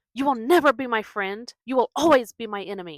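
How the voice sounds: Using a put-on character voice, a woman talks at a fairly quick pace with lively intonation and a fairly high pitch.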